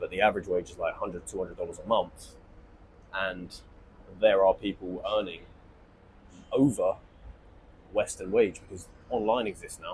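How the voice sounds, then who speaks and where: A man with a southern English accent talks at a moderate pace, his loudness swinging widely. He leaves long, frequent pauses. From southern England. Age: 20s. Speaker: online entrepreneur. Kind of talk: monologue to camera. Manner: informal, rambling.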